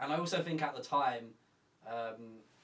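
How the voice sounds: With audible room echo, a man talks at a moderate pace and medium pitch, his fairly bright tone showing ordinary pitch variation.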